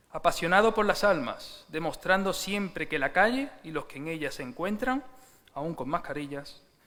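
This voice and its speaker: A man with a high pitch and a bright, sharp tone talks at a moderate pace with lively intonation. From Seville, Andalusia, Spain. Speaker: church speaker giving a tribute. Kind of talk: formal tribute speech. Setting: church service.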